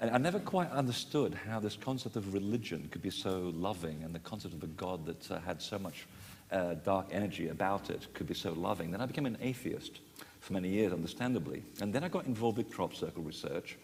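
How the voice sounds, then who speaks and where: A man talks at a fairly quick pace with lively intonation and a fairly low pitch, and audible room echo surrounds him. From Portugal. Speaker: author and sacred sites researcher. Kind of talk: panel discussion. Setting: conference stage with audience. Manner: hesitant, many fillers.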